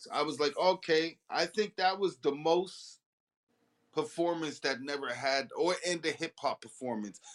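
A man with an unremarkable speaking voice talks fairly slowly at a fairly high pitch, with ordinary pitch variation. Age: 40s. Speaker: underground rap artist. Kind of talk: casual chat.

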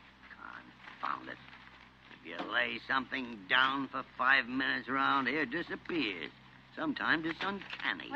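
A man's put-on character voice, rumbling and mumbling at a medium pitch, with lively intonation at a moderate pace over light background noise. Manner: mumbling, grumbling.

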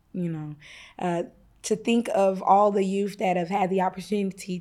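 A woman with a plain, everyday voice speaks at a medium pitch in an American accent, at a fairly slow pace. The recording is very clean, with a silent background. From Kansas. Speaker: music educator and youth orchestra director. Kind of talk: interview.

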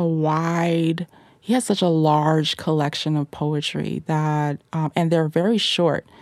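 Recorded with a dry, close sound and no echo, a woman speaks fairly slowly in a fairly low voice. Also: very clean recording, silent background. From US, Haitian immigrant family. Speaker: poet and performer. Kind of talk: interview. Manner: hesitant, many fillers.

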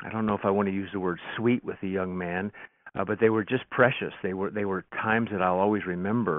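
A man speaks in an unremarkable speaking voice with fairly even intonation. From Nebraska, US Midwest. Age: 60s. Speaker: pastor and radio host. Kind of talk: casual interview chat.

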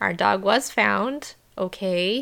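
On a very clean recording with a silent background, a woman with an American accent talks at medium pitch. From United States. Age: 30s. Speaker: podcast host and homesteader. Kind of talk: casual Bible devotional monologue. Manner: conversational, with frequent fillers.

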